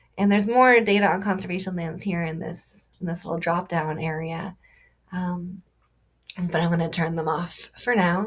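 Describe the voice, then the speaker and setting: This woman's voice is somewhat breathy and fairly low in pitch. Her intonation stays fairly even. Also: moderate pace. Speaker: conservation data presenter. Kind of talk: screen-share tutorial. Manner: hesitant, many fillers.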